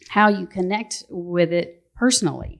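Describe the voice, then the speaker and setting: A woman speaks at a medium pitch and a fairly slow pace in a Southern accent. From US South, North Georgia (Appalachian foothills). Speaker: novelist. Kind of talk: book festival panel discussion.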